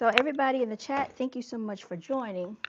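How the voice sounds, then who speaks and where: A woman talks at a fairly quick pace. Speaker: livestream host. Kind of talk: casual livestream chat. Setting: livestream with chat.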